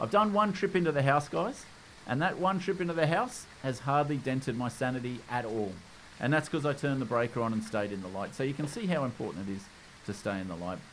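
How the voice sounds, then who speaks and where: Talking at a very fast pace, this man has an Australian accent. His pitch swings very widely. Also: medium pitch for a man. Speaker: gaming YouTuber. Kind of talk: gameplay tutorial commentary. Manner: casual.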